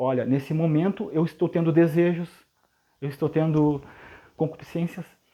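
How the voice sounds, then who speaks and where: Speaking fairly quickly in a dark, mellow tone, a man is heard against a quiet background. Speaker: preacher. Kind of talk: sermon. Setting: livestream. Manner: fast.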